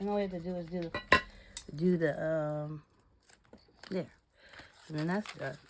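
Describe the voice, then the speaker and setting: Noticeable background noise sits behind a woman's voice. Her pitch is very deep and low, with ordinary variation. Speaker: crafting channel host. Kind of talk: craft tutorial. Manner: casual, talking to herself; quieter than usual.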